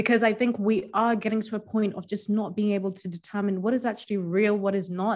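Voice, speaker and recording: A woman of medium pitch talks at a fairly quick pace in a monotone, flat intonation with hardly any pauses. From Zimbabwe. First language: Shona (Zimbabwean language). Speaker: coach and writer. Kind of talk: podcast interview. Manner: confident, outspoken.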